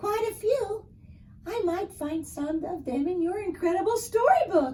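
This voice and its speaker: A female-sounding voice uses a squeaky put-on character voice at an extremely high pitch. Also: moderate pace. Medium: read story.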